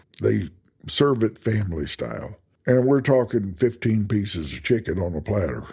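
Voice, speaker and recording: A man talks at a moderate pace with a Texas accent. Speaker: travel podcast host. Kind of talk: casual podcast monologue. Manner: conversational, with false starts.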